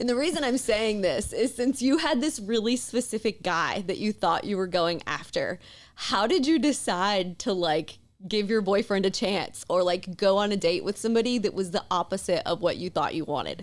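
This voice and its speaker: A woman with a strong Southern US accent speaks at a moderate pace. Her medium-pitched voice has lively intonation. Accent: thick Southern US. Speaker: podcast host. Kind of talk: casual chat.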